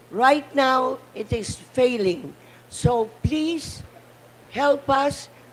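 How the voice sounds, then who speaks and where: A woman speaks in a high voice with ordinary pitch variation. Noticeable background noise runs beneath her. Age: 80s+. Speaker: panel speaker, cultural advocate. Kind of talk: conference speech. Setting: conference side event panel. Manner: impassioned.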